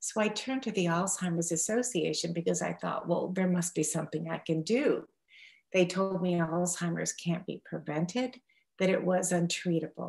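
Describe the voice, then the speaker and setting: A woman speaks at a moderate pace. Her voice is fairly low and somewhat breathy. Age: 60s. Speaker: patient advocate, citizen scientist. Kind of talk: personal testimony. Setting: online webinar.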